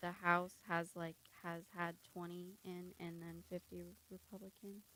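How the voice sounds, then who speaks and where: A soft-spoken woman talks at a fairly slow pace in a fairly low pitch, her bright, sharp tone held to a flat monotone while her loudness swings widely. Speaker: student journalist. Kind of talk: reading election results. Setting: radio studio. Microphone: too quiet, has to be close to mic.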